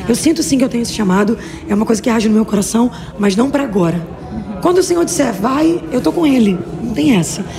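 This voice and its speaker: Swinging very widely in pitch, a woman talks at a very fast pace in a fairly high voice. Audible room echo and noticeable background noise mark the recording. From Brazil, Rio de Janeiro state (Xerém). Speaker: missionary preacher. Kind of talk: interview. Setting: women's conference. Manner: casual, halting.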